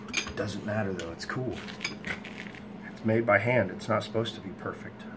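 A man's voice over noticeable background noise. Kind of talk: tutorial. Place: workshop. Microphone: camera far.

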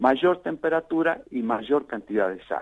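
This man has a fairly high pitch that swings very widely. He talks at a fairly slow pace. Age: 70s. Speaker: mayor. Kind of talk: radio interview.

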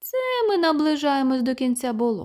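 A woman speaks in a high pitch. She is using a put-on character voice. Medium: read story. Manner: sly.

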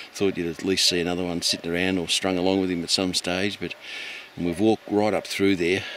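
A man with a very deep, low voice speaks at a very fast pace, the sound dry with no echo and light background noise behind it. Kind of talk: casual vlog chat. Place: open country. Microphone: phone near.

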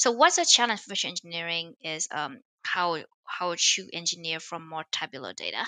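Speaking with a Vietnamese accent at a fairly quick pace, a woman uses a fairly low pitch, ordinary pitch variation and a bright, sharp tone, with big swings in loudness in a dry sound with no echo over a quiet background. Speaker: machine learning author and startup founder; podcast guest. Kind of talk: interview. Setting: remote call. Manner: hesitant, many fillers. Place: home room. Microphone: headset.

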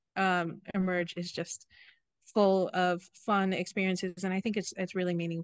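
A woman's flat, monotone delivery in an American accent, with a dry sound and no echo. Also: medium pitch for a woman, moderate pace, quiet background. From Seattle, Washington; Washington. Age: young. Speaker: church worship musician and lab technician; guest. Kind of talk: interview. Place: forest. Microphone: video call.

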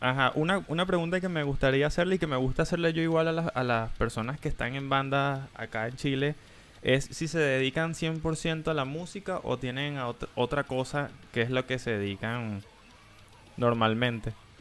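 At a moderate pace, a man with an unremarkable speaking voice talks at a fairly high pitch with ordinary pitch variation. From Venezuela. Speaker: streamer and interviewer. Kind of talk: casual interview chat. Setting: live stream video call. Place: home room. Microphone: headset.

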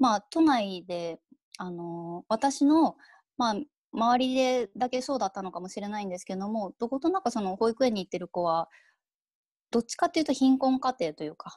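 Very wide pitch swings and big swings in loudness at a moderate pace, in a dry sound with no echo and a quiet background. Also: woman, fairly high pitch for a woman. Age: 30s. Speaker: freelance writer; keynote speaker. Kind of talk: keynote lecture. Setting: video call. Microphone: earbuds.

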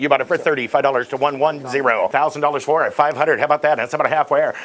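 A man speaks very fast with fairly even intonation over light background noise. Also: hardly any pauses. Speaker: auctioneer. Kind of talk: live auction calling and vlog narration. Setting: warehouse auction floor with bidders. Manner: fast talker. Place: shop. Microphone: lapel.

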